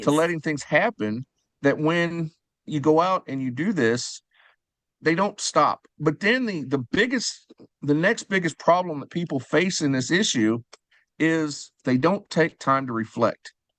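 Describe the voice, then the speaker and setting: A man's normal speaking voice, fairly high in pitch with lively intonation, at a fairly slow pace, dry and close with no echo, over a quiet background. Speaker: fundraising auctioneer and sponsorship specialist. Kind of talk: podcast interview answer.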